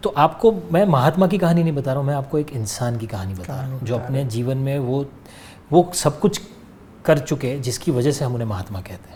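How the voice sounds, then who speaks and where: Over noticeable background noise, a man speaks at a moderate pace with lively intonation. His loudness swings widely. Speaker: actor. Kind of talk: interview answer.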